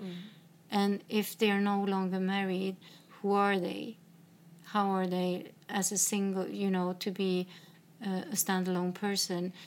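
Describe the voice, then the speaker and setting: A woman speaks with a Swedish accent at a moderate pace. Her medium-pitched voice stays monotone and flat. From northern Sweden. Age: 50s. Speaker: podcast host. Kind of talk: casual chat. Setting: in a home.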